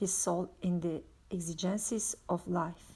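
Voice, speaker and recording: A woman with a non-native accent has a dark, mellow, somewhat breathy tone and fairly even intonation. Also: very clean recording, silent background. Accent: foreign accent, self-noted. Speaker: religious book reader. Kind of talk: reading aloud. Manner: occasional stumbles on words.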